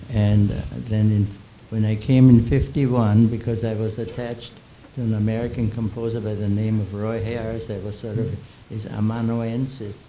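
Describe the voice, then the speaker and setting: Against audible room echo, a man speaks at a moderate pace and medium pitch with monotone, flat intonation. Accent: slight Austrian. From Austria, Vienna. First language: German. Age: 80s+. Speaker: composer and music critic. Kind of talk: panel Q&A. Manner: halting.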